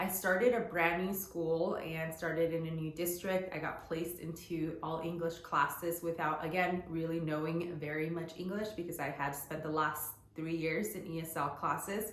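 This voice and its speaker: Amid noticeable background noise and audible room echo, a woman with a fairly low pitch talks at a moderate pace with fairly even intonation. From US, Guatemalan immigrant family. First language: Spanish. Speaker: lifestyle vlogger. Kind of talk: personal storytelling vlog. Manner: casual, conversational with fillers.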